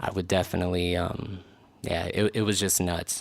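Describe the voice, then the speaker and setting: On a very clean recording with a silent background, a man with a very deep, low voice speaks at a fairly slow pace. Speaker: podcast host and rapper. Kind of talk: solo podcast monologue. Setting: studio. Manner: halting, many fillers.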